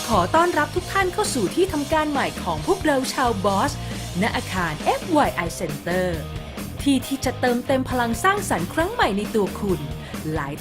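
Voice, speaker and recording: Over music in the background, a woman with a high pitch speaks in a playful tone, her pitch swinging very widely. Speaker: voice-over artist. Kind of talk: corporate infographic narration. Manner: playful, chatty.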